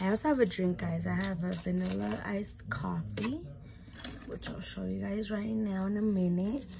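With an American accent, a woman talks at a moderate pace against noticeable background noise. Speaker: YouTuber, mom; YouTuber. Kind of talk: mukbang vlog, casual eating chat. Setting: at home. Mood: relaxed, chatty. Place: home room. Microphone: phone near.

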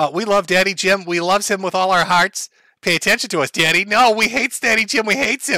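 A put-on character voice at a very fast pace. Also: man, high pitch for a man. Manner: creepy, needy and hateful.

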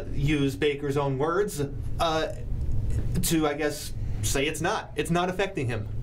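Light background noise sits behind a man with a fairly high pitch. He speaks at a very slow pace with ordinary pitch variation. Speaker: sports talk show host. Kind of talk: casual sports talk. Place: studio. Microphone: studio mic.

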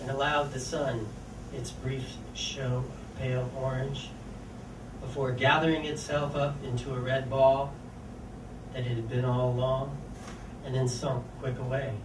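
A man at a moderate pace, monotone and flat, with long, frequent pauses and noticeable background noise. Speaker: featured poet. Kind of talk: poetry reading. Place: cafe. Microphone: camera far.

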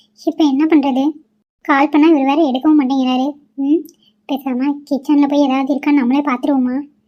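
In a cartoonish character voice, a woman speaks high-pitched and flat, in a monotone, at a moderate pace.

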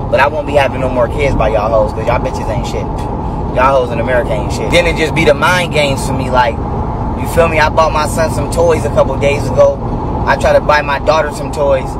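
A man talks at a very fast pace over loud background noise, in a dry sound with no echo. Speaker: vlogger. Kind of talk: casual vlog rant. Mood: angry, venting. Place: car. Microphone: phone near.

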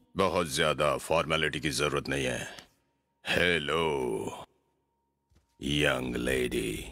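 Very slowly and with long, frequent pauses, a man talks in a raspy, very deep, low voice. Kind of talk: Hindi film dubbing. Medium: fan dub. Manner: playful, leering, rambling.

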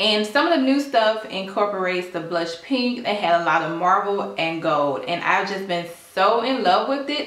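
A woman speaks at a moderate pace, with audible room echo around her voice. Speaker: home decor vlogger. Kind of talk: casual haul vlog chat. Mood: cheerful, enthusiastic. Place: kitchen. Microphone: camera far.

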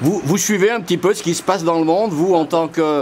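A man's high voice at a moderate pace, with ordinary pitch variation and noticeable background noise. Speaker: interviewer, journalist. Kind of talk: interview questions.

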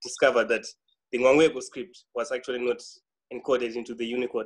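A man's medium-pitched voice at a fairly quick pace against a quiet background. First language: a Bantu language. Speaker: type designer. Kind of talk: interview answer. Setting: video call. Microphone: video call.

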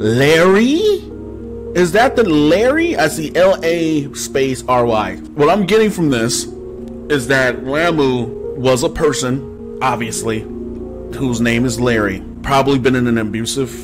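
Fairly slow speech over clear music in the background. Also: man. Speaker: gaming streamer. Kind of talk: game commentary, reading story text aloud. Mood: amused, speculative. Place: home room.

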